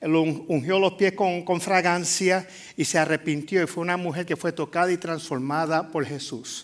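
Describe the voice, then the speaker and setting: Speaking with a Puerto Rican accent, a man uses a high pitch, fairly even intonation and a fairly slow pace. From Puerto Rico. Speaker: pastor. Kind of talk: sermon. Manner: halting, with many fillers.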